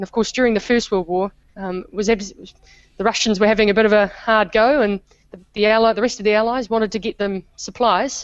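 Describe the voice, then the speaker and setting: A woman's fairly high voice holds a fairly even intonation. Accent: New Zealand. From New Zealand. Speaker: historian. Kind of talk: interview.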